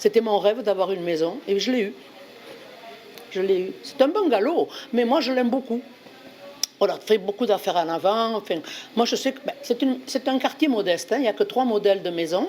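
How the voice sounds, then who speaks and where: Over music in the background, a woman with a Bordeaux accent speaks at a moderate pace with a fairly high pitch and lively intonation. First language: Spanish (speaking French). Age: 80s+. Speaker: volunteer translator. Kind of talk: personal testimony. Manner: animated; halting.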